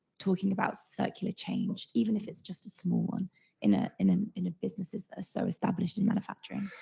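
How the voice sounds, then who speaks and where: A woman's dark, mellow tone carries vocal fry and fairly even intonation. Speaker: researcher asking a question. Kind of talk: audience question. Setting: online video call.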